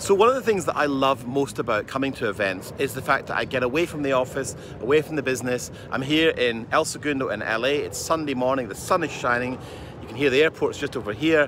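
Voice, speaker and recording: A man talks at a very fast pace with ordinary pitch variation, the sound dry with no echo but with noticeable background noise. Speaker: business coach. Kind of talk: casual vlog chat. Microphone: phone near.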